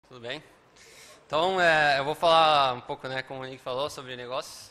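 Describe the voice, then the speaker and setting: A man with a fairly high pitch and a bright, sharp tone talks at a moderate pace. His loudness swings widely while his intonation stays fairly even. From Uruguay, Montevideo. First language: Spanish (speaking Portuguese). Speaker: software developer and conference speaker. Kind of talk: conference talk. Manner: many filler words and hesitations.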